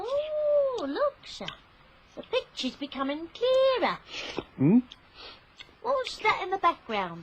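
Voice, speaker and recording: A woman's put-on character voice at an extremely high pitch, with very wide pitch swings, a fairly slow pace and long, frequent pauses. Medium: old radio play.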